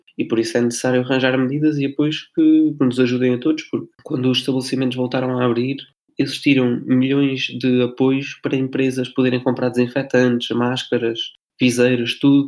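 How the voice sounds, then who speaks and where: At a fairly quick pace, a man holds a medium pitch in a monotone, flat delivery with very even loudness. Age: 20s. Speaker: drama student, podcast co-host. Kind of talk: casual podcast discussion. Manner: halting, repeats words.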